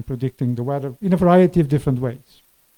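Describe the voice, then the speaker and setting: A man speaks very fast with lively intonation and a dark, mellow tone, on a very clean recording with a silent background. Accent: Portuguese. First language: Portuguese. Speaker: climate scientist. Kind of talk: lecture.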